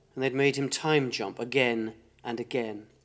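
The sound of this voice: The unforced reading voice keeps a fairly even intonation.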